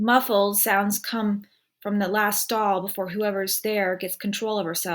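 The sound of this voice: A quiet background sits behind an unforced reading voice.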